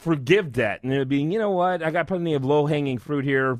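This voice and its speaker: Recorded very cleanly against a silent background, a man with a plain, everyday voice speaks fairly quickly at a fairly high pitch. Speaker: radio show host. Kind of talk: radio interview, host questions.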